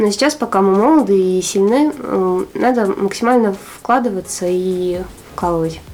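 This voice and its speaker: A woman speaks at a medium pitch with lively intonation, pausing long and often over noticeable background noise. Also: moderate pace. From Arkhangelsk, northern Russia. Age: 20s. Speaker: entrepreneur, clothing shop owner. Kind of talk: interview.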